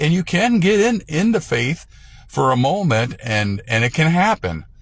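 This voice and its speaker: Somewhat breathy, the voice moves at a moderate pace with very wide pitch swings. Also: man. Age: 60s. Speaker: evangelist. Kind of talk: religious talk to camera. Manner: halting, with many fillers and restarts.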